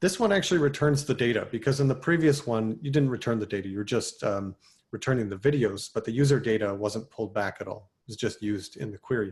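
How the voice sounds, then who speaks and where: A man talks at a very fast pace with hardly any pauses and lively intonation. His voice is somewhat breathy, over a quiet background. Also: medium pitch for a man. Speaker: software developer presenting at a meetup. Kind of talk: technical talk.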